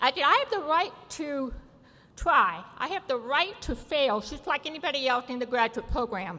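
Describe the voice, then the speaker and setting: With a high, bright, sharp tone, a woman projects a raised voice at a moderate pace, her pitch swinging very widely. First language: American Sign Language. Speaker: award recipient, deaf advocate. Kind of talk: award acceptance speech.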